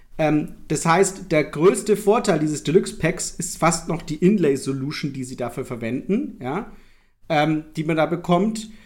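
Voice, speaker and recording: A man with a high pitch delivers his words at a fairly slow pace. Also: ordinary pitch variation. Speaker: board game publisher editor and podcast host. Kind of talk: casual chat.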